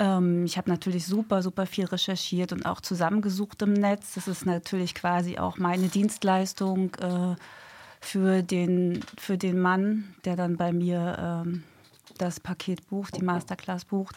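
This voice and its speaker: A woman speaks in a medium pitch at a fairly slow pace with monotone, flat intonation. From Hamburg, northern Germany. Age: 40s. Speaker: police detective and dating mentor. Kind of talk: radio interview. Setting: radio studio.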